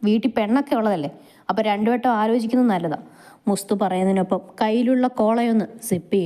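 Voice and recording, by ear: Ordinary pitch variation, reading aloud in a natural voice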